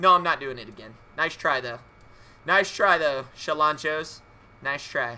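Fairly high-pitched male speech, bright, sharp and animated in tone, fairly slow with long, frequent pauses and big swings in loudness. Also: ordinary pitch variation. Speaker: video game streamer. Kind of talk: live gaming stream commentary. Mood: playful, mock-theatrical. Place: home room.

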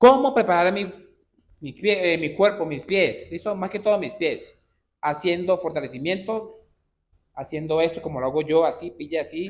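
Pitched high for a man, his voice shows ordinary pitch variation and big swings in loudness. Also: moderate pace. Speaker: dance instructor. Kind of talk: tutorial. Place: studio. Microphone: camera far.

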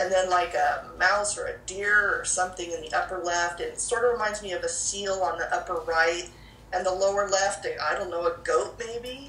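Through audible room echo and light background noise, a woman talks at a moderate pace with fairly even intonation. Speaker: paranormal researcher. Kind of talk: interview answer. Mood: calm, reflective. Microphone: video call.

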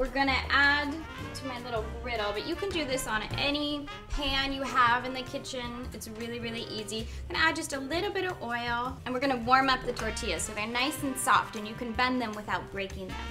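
Clear music plays in the background as a woman talks at a fairly quick pace. Her pitch is high, with ordinary variation. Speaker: chef host. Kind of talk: tutorial. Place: kitchen. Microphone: lapel.

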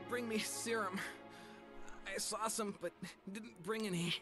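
Clear music plays in the background as a man does a whiny, put-on character voice. He speaks at a moderate pace and a high pitch. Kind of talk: scripted game dialogue. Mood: weak, pained, dying.

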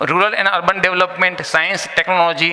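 Monotone, flat intonation carries speech at a fairly quick pace. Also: man. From India. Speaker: business presenter. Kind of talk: business presentation. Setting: live event with audience. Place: hall. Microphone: podium.

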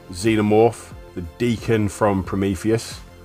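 A man speaks with fairly even intonation. Music plays in the background. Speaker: collector reviewing a steelbook. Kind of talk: product showcase commentary. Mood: calm admiring. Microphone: phone near.

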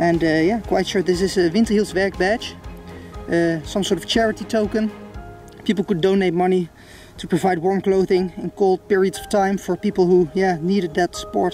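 At a moderate pace, the voice comes through dry with no echo while faint music plays in the background. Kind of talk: casual vlog commentary. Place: forest. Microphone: phone near.

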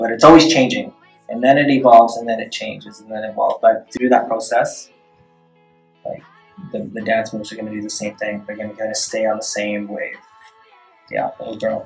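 A soft-spoken man talks at a fairly quick pace with long, frequent pauses and big swings in loudness, faint music in the background. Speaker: dance choreographer. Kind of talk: interview answer. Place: meeting room. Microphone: camera far.

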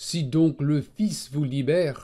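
A man talks at a very slow pace with a dark, mellow tone. His pitch is fairly high for a man. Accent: non-native. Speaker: Bible teacher. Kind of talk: religious teaching narration.

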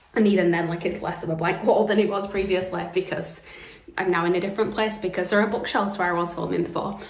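Audible room echo surrounds a woman talking at a very fast pace with monotone, flat intonation. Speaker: book vlogger. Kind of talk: casual vlog chat. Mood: cheerful, chatty. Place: home room. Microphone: phone near.

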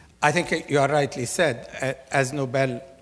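The man's voice is somewhat breathy. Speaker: conference guest. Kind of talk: interview answer. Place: hall. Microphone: lapel.

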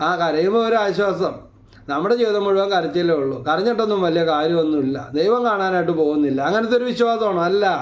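Audible room echo surrounds a man talking at a high pitch with ordinary pitch variation. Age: 50s. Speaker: lay preacher. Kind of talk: sermon.

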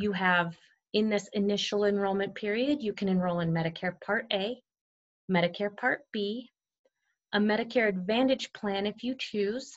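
A woman speaks at a moderate pace. Her pitch variation is ordinary, and the background is quiet. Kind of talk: tutorial. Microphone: webcam.

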